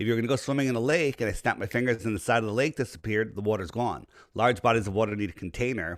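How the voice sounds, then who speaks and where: Delivered at a very fast pace in a New York accent, the speech shows ordinary pitch variation on a very clean recording with a silent background. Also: man, medium pitch for a man. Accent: East Coast, New York-like. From Connecticut, Fairfield County near New York City. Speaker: flat earth advocate, businessman. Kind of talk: podcast interview.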